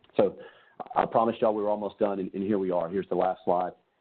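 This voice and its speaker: A man with a Southern Louisiana accent and a very deep, low pitch. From south Louisiana. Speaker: gastroenterologist. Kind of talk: webinar presentation. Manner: casual, with many fillers.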